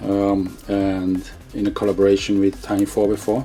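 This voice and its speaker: With noticeable background noise, a man talks at a moderate pace and a fairly low pitch. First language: not English. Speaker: hobby shop owner and video host. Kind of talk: product unboxing. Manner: halting with many fillers.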